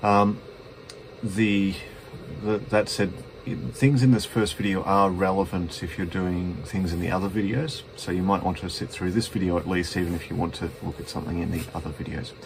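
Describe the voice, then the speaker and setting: Light background noise sits behind a man with an Australian accent and a very deep, low pitch. He talks at a moderate pace with ordinary pitch variation. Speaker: betting software presenter; presenter. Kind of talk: tutorial. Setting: at home, cold room. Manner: halting, stuttering. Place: home room. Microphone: phone near.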